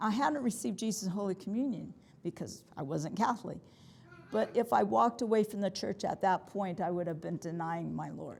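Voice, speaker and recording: A woman with a General American accent speaks fairly quickly at a medium pitch. Her intonation is lively, with some vocal fry. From US Midwest (Nebraska), then California. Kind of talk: talk to a parish group. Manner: loud, projecting. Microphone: no microphone.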